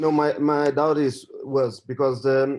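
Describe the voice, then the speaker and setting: A very slow delivery in a Portuguese accent with monotone, flat intonation. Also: man. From Portugal. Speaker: trader. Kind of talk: casual chat. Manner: halting.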